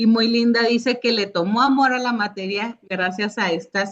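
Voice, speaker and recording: A woman speaks in a northern Mexican accent at a fairly high pitch. Her pitch variation is ordinary. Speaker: judge, course instructor. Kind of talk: online Q&A session.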